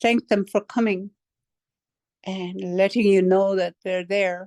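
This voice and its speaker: Over a quiet background, a woman talks in a medium pitch with a dry, close sound and no echo. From British Columbia, Canada. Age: 70s. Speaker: near-death experience witness. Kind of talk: testimony. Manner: halting.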